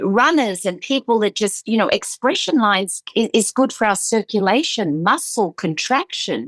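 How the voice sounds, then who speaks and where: A woman with an American accent speaks at a moderate pace in a fairly high pitch, her intonation lively and the sound dry and close with no echo. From Australia, Sydney. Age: 60s. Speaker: aesthetician. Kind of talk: interview. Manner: animated; halting, with many repeated words.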